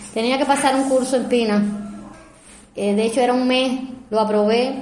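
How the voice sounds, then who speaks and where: A woman speaks with a Cuban accent at a fairly high pitch and fairly even intonation. Noticeable background noise and audible room echo fill the recording. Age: 50s. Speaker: biological lab manager. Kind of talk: testimony. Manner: halting.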